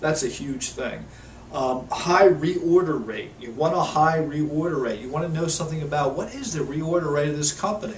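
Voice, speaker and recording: A man speaks with a fairly high pitch and ordinary pitch variation. There is audible room echo and noticeable background noise. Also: moderate pace. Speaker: network marketing promoter. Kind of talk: video tutorial. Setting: home office. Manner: halting, many fillers.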